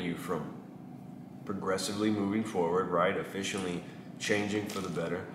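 There is noticeable background noise as a man with a Texan accent speaks in a very deep, low voice with fairly even intonation. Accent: Texan Southern US. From East Texas, US (small town). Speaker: barber and vlogger; vlogger. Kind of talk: casual vlog monologue. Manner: halting with many fillers. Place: shop.

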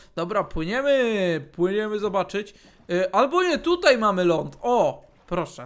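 A high-pitched man speaks at a fairly slow pace in an animated tone with lively intonation. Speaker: gaming YouTuber. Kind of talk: casual gameplay commentary.

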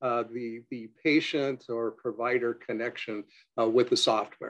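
In a quiet background, a man talks at a moderate pace with ordinary pitch variation. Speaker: dental software co-founder and dentist. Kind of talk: webinar presentation. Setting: video call. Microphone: webcam.

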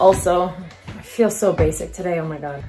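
A woman speaks with faint music in the background. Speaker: vlogger. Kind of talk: casual vlog chat. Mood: chatty, wry. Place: home room. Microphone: phone near.

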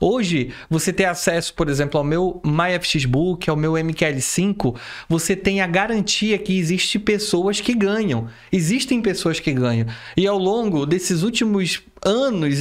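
High in pitch, a man speaks with lively intonation. The background is quiet. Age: 30s. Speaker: forex trader and online educator; online educator. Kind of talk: educational monologue; live stream talk to viewers. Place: home room.

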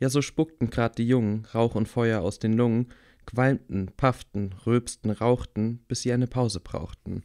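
At a fairly slow pace, a man with a medium pitch speaks in a dark, mellow and warm, theatrical tone, the sound dry and close with no echo. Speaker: audiobook reader. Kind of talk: rhythmic rhymed children's story reading, sing-song verse. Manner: bedtime-story tone, warm and gently theatrical.

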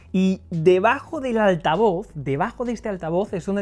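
A man talks in a high voice with lively intonation. Faint music plays in the background. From Spain. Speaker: tech video reviewer. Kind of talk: product review. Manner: casual, conversational. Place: home room. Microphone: lapel.

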